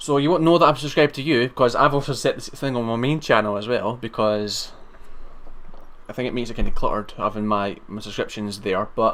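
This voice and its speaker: A man's medium-pitched voice in a Scottish accent, fairly quick, with ordinary pitch variation, on a very clean recording with a silent background. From Scotland. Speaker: live streamer. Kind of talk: casual chat. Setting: live stream on camera. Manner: halting, stammering restarts.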